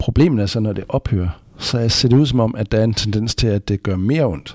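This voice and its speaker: Fairly low-pitched man at a moderate pace with hardly any pauses and ordinary pitch variation, in a dry, close sound with no echo. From West Jutland, Denmark. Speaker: anaesthesiology professor. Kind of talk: expert interview. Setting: hospital conference room.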